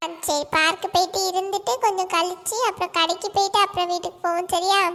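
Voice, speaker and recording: A cartoonish character voice is on display. It moves at a moderate pace. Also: woman, extremely high pitch for a woman. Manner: teasing, quick-tempered.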